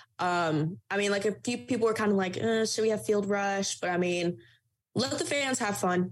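A woman with an American accent talks at a moderate pace in a normal speaking voice, with lively intonation. The recording is very clean with a silent background. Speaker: student sports journalist. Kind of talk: interview chat.

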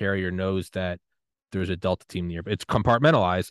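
A man talks at a very fast pace. The sound is dry and close with no echo, over a quiet background. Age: 30s. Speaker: podcast host. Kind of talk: casual chat.

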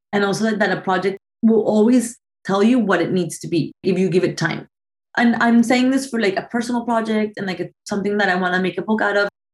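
Speaking very fast, a woman uses a Spanish accent and a medium pitch. Her voice is somewhat breathy, with ordinary pitch variation. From Colombia, Bogota. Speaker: photographer. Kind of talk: interview.

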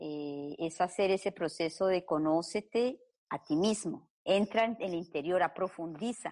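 A woman talks at a fairly slow pace. Her fairly low pitch shows ordinary variation. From Colombia. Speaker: psychotherapist. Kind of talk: interview. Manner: halting.

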